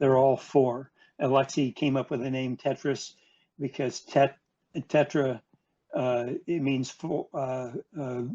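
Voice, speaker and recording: A man's medium-pitched, dark and mellow voice, monotone and flat, at a very slow pace with long, frequent pauses. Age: 70s. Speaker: video game industry executive. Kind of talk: interview storytelling. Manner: halting, many repetitions.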